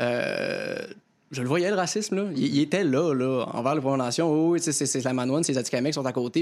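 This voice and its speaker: A man speaks in a normal speaking voice, pitched fairly high. His pace is moderate and his pitch variation ordinary. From Quebec, Lanaudière near Joliette. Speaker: comedian. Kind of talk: panel discussion.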